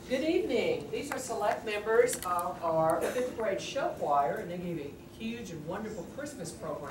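A woman's voice at a moderate pace over loud background noise. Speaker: music teacher. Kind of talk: presentation to a meeting audience. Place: meeting room.

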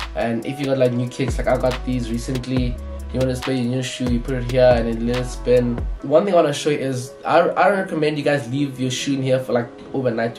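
Clear music plays behind a voice speaking at a fairly quick pace. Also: man. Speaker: sneaker content creator. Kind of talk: tutorial. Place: home room.

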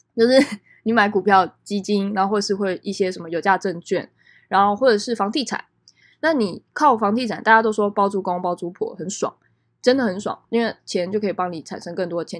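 Very fast speech in a Taiwanese accent, with ordinary pitch variation, on a very clean recording with a silent background. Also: woman. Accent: Taiwanese Mandarin. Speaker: podcast host. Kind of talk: solo podcast monologue. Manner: casual, many filler words.

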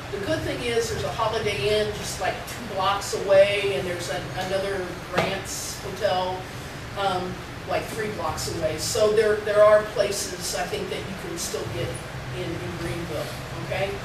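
The speech moves at a moderate pace, with noticeable background noise and audible room echo. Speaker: university faculty, seminar organizer. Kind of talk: class announcements. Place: classroom. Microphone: camera far.

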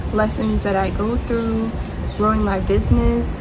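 A woman with an American accent at a fairly slow pace, amid loud background noise. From New York City. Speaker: entrepreneur and YouTuber. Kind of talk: casual talk to camera. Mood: reflective, sincere. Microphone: phone near.

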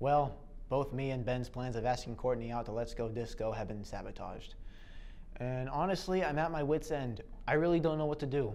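With ordinary pitch variation, a man talks at a fairly quick pace. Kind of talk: confessional-style talk to camera. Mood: frustrated, at a loss. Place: empty room. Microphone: lapel.

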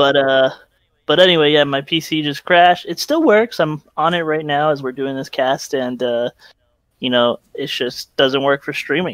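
A man with a normal speaking voice talks at a moderate pace in a fairly high pitch, with ordinary pitch variation. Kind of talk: casual chat. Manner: laughs often.

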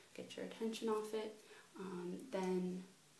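A woman's voice carries audible room echo over light background noise. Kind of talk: casual vlog chat. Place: home room. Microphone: webcam.

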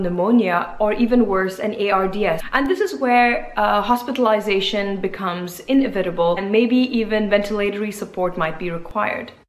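Ordinary pitch variation and a moderate pace from a woman. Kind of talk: health explainer talk. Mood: calm, informative. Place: home room. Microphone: phone near.

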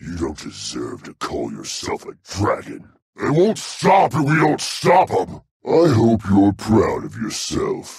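A man's raspy, put-on character voice at a fairly slow pace. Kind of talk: video game character battle lines. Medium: video game. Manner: aggressive, boisterous.

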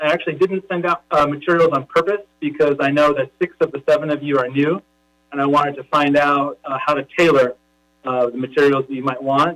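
An unremarkable speaking voice: a man with an American accent, fairly high pitch, ordinary pitch variation and a fairly quick pace, in a dry, close sound with no echo. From Los Angeles. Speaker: school board executive officer. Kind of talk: public meeting presentation. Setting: online video meeting.

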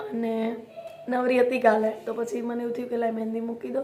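In a dark, mellow tone with little pitch movement, the voice moves at a fairly quick pace amid audible room echo. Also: woman.

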